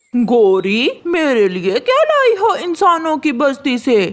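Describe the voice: In a high, cartoonish character voice, the speaker goes very slowly with very wide pitch swings.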